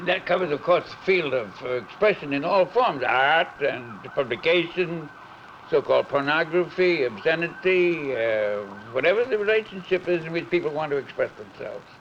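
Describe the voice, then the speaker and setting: Lively intonation carries an American accent over noticeable background noise. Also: man, high pitch for a man, moderate pace. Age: 80s+. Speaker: civil liberties organization founder and director. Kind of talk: conversation on camera.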